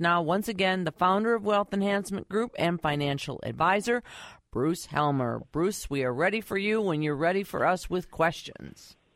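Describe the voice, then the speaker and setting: Lively intonation colors a plain, everyday voice. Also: woman. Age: young. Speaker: radio co-host. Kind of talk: radio call-in show hosting. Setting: radio studio.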